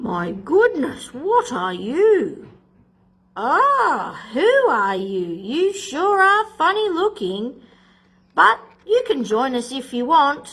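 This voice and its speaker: Putting on a character voice, a woman speaks at a very slow pace and high pitch, with very wide pitch swings. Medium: read story.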